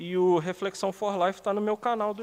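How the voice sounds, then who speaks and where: A man is speaking. His pace is moderate. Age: 30s. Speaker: writer and musician, hospital doorman. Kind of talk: casual interview.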